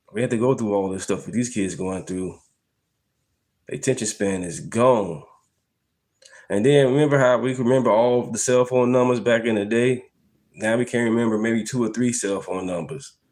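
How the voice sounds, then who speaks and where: At a moderate pace, a man speaks in a medium pitch with ordinary pitch variation and long, frequent pauses. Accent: American. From Chicago, South Side. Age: 40s. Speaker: political commentary podcast host. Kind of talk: casual live-stream commentary. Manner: casual, conversational.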